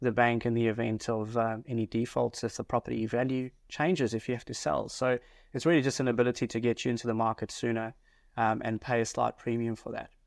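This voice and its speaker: A man speaks fairly quickly with a South African accent and monotone, flat intonation. The sound is dry and close with no echo, over a quiet background. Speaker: mortgage advisor. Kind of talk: podcast interview.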